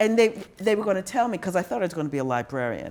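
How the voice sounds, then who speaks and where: A woman speaks loudly with vocal fry. Her pitch swings very widely. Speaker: theologian and pastor. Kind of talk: casual chat. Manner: animated, halting.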